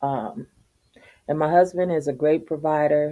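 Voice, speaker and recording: Her voice is very deep and low, with a dark, mellow tone. The woman speaks at a fairly slow pace with fairly even intonation. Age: 60s. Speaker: YouTuber. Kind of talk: casual vlog monologue.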